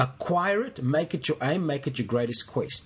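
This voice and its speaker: His voice is fairly high for a man, somewhat breathy, and moves through very wide pitch swings. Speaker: co-host, church minister or teacher. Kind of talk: casual discussion of faith, teaching.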